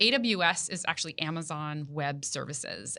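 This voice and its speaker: The voice has a bright, sharp tone against a quiet background. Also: woman. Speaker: tech company country manager. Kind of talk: interview.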